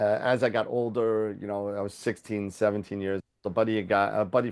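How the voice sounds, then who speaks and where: Against a quiet background, a man with a Long Island accent speaks at a fairly quick pace and a fairly low pitch. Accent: Long Island New York. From Long Island, New York. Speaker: telescope business owner. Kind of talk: interview. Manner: halting, many fillers.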